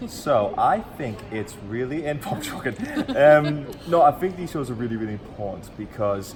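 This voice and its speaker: A fairly high-pitched man at a moderate pace, with lively intonation and big swings in loudness, amid noticeable background noise and audible room echo. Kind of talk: casual chat.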